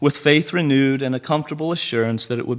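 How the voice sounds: The pitch rises and falls in an ordinary way. It's a natural reading voice.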